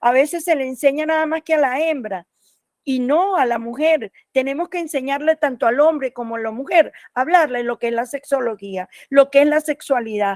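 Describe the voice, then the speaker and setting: In a very clean recording with a silent background and a dry, close sound with no echo, a woman speaks at a high pitch with ordinary pitch variation. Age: 60s. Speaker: sexology professor. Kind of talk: panel discussion.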